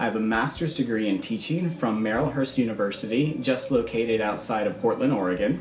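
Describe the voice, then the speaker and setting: Amid noticeable background noise and audible room echo, a man with an American accent speaks at a medium pitch and a fairly quick pace, with very even loudness. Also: ordinary pitch variation. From US Midwest and South (Michigan, South Carolina). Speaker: schoolteacher. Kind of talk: scripted self-introduction. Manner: formal.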